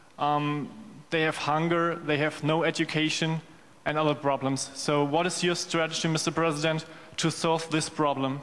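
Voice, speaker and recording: Against noticeable background noise, a man with a German accent speaks at a moderate pace in a fairly high, monotone voice, flat in intonation and very even in loudness. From Germany. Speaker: student audience member. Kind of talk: audience question. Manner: halting.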